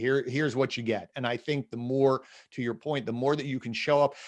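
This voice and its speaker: Against a quiet background, a man with a slight New Jersey accent speaks at medium pitch with ordinary pitch variation. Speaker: podcast host. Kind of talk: interview conversation.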